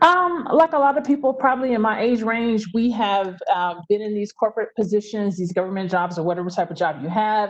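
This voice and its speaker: Using an ordinary speaking voice, a woman with an American accent talks at a fairly quick pace with hardly any pauses, a fairly high pitch and lively intonation. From US South, Memphis, Tennessee. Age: 40s. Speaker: travel business owner, former aerospace engineer. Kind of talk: interview.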